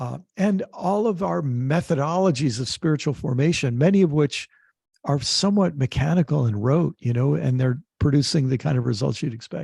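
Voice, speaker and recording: Over a quiet background with a dry, close sound and no echo, a man with a fairly high pitch speaks at a moderate pace in a somewhat breathy, dark, mellow tone with lively intonation. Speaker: author, activist and theologian. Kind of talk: interview answer.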